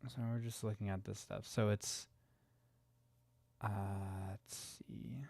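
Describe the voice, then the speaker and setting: Soft-spoken and somewhat breathy, a man with a fairly low pitch talks very slowly with fairly even intonation and long, frequent pauses on a very clean recording with a silent background. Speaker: game developer streamer. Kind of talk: live stream coding. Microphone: close to the mic.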